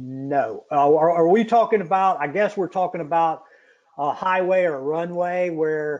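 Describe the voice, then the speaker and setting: A man's fairly high pitch stays in fairly even intonation. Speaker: product expert presenting a webinar. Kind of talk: webinar Q&A. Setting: webinar from home. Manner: fast.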